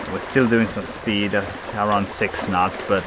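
A man speaks in a dry recording with no echo, though noticeable background noise comes through. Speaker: sailor vlogger. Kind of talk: casual vlog chat. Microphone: phone near.

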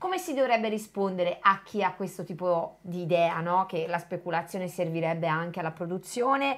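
A woman talks at a fairly quick pace with hardly any pauses. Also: ordinary pitch variation. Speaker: co-host reading chat. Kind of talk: live stream discussion. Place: home room.

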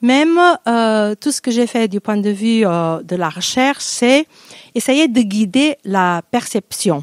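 A woman with a Portuguese accent speaks very slowly at a fairly high pitch, her intonation lively, the sound dry with no echo and the background quiet. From Portugal, Porto; Portugal. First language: Portuguese (speaking French). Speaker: poet and university lecturer; poet, university lecturer. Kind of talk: interview self-introduction. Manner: halting, many hesitations. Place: stage. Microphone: handheld.

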